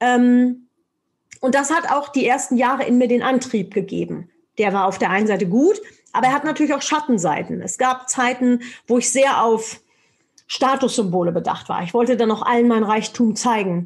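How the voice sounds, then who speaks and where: An energetic tone with ordinary pitch variation at a moderate pace. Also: woman, high pitch for a woman. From Germany. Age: 40s. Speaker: motivational speaker and sales trainer. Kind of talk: interview.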